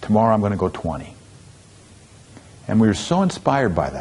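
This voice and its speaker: Here is a man with an unremarkable speaking voice, pitched fairly low. His intonation is lively. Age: 60s. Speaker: motivational speaker. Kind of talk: storytelling talk.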